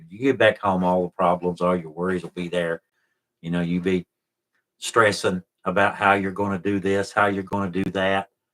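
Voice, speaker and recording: Very deep and low in pitch, a man with an Appalachian accent speaks in a relaxed, bright, sharp tone with flat, monotone intonation, the sound dry and close with no echo on a very clean recording with a silent background. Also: big swings in loudness. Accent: Appalachian Southern US. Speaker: YouTube channel host, explorer of historic places. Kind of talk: casual live stream chat, reading viewer comments. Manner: relaxed, conversational.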